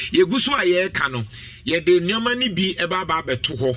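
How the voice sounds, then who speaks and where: A man in a Ghanaian accent speaks at a moderate pace with lively intonation over noticeable background noise. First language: Twi. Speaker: radio host. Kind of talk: radio talk show.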